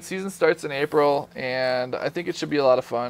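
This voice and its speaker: This man speaks with fairly even intonation. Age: 20s. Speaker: gaming channel staff member and ultimate frisbee player. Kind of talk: casual self-introduction video. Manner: laid back.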